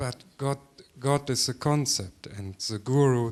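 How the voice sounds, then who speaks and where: At a very slow pace, this voice speaks with a German accent and ordinary pitch variation. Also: man. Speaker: seminar participant. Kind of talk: question at a seminar. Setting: seminar with audience. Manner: halting.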